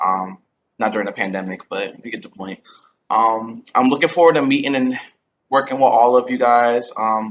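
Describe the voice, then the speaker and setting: At a moderate pace, a man with a medium pitch talks in a plain, everyday voice with ordinary pitch variation. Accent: American. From Connecticut, Groton. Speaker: graduate intern and student advocate. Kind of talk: welcome introduction on video call. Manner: upbeat, casual.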